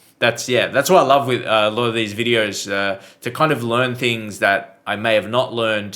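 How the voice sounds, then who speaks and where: The delivery moves at a moderate pace. It comes with an Australian accent. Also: man. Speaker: reaction video creator. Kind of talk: casual reaction commentary. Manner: hesitant, many fillers.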